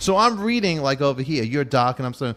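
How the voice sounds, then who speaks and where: A man with a Brooklyn accent talks at a very fast pace. His fairly high pitch makes very wide swings. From Brooklyn, New York (Canarsie). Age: 50s. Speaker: talk show host. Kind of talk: casual chat.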